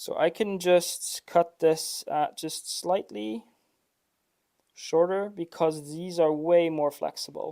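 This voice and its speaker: Very slow speech with a non-native accent. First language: not English. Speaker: 3D printer builder livestreamer. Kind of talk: live workshop stream, casual chat. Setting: workshop. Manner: halting, with fillers.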